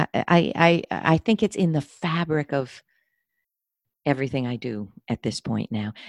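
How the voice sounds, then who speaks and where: A voice with very wide pitch swings, vocal fry and a fairly slow pace. The sound is dry and close with no echo, over a quiet background. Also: woman, very deep, low pitch for a woman. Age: 60s. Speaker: career and leadership coach. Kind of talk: casual chat.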